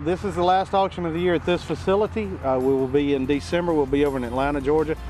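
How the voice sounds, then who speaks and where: A man talking at a very fast pace with lively intonation, dry sound with no echo, and clear music in the background. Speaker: auctioneer, business owner. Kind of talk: TV business segment interview answer. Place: open country.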